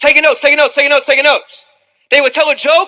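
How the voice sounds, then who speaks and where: Raising and projecting his voice, a man speaks at an extremely high pitch with fairly even intonation. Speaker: motivational speaker. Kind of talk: motivational seminar talk. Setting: stage with live audience. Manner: loud, high-energy.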